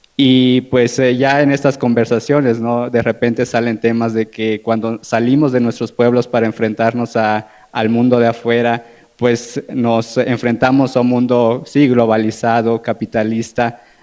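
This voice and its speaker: A man with an Oaxacan accent speaks at a fairly slow pace in a medium pitch, his intonation flat and monotone. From Oaxaca, Mexico (Zapotec community). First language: Zapotec (speaking Spanish). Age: young. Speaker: panelist, international relations graduate. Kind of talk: panel discussion talk. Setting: live-streamed panel event.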